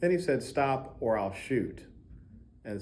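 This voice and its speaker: Against audible room echo, a man with an American accent speaks in a dark, mellow tone. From Baltimore, Maryland. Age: 40s. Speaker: music professor. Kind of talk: testimony. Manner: halting, many fillers.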